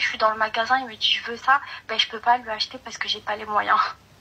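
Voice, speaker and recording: A woman at a fairly quick pace, fairly even intonation, with noticeable background noise. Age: 20s. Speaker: caller. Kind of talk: advice call-in conversation. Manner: halting, many hesitations.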